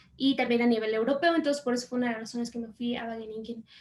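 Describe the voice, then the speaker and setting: Her intonation fairly even, a woman speaks in a high voice. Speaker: agronomist, master's graduate. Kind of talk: panel talk with slides.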